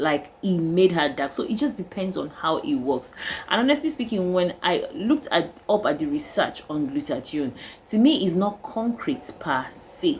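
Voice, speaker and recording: At a moderate pace, a woman talks at medium pitch with very wide pitch swings. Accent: Nigerian. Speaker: skincare vlogger. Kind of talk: casual vlog talk. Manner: halting, with fillers.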